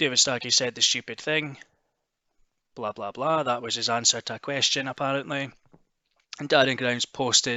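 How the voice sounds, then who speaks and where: With a Scottish accent, a man talks at a moderate pace in a monotone, flat intonation. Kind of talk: casual news commentary to camera.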